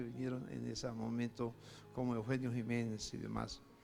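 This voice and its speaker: A man speaks at a fairly slow pace with audible room echo and music in the background. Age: 80s+. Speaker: pastor. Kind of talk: sermon.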